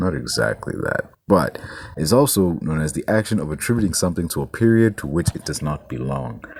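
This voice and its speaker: A man's very deep, low voice at a fairly quick pace, with very wide pitch swings and noticeable background noise. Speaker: podcast host. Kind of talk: casual podcast monologue. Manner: animated.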